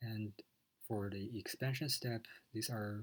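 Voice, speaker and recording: A man with a non-native accent speaks fairly slowly at a medium pitch, his voice somewhat breathy and his intonation fairly even. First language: not English. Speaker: student. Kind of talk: lecture. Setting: recorded video lecture with slides. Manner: hesitant, many fillers.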